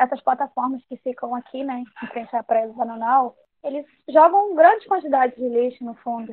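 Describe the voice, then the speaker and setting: Moderate pace, ordinary pitch variation and big swings in loudness. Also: woman, high pitch for a woman. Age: 20s. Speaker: member of traditional fishing community. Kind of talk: interview testimony; scripted narration.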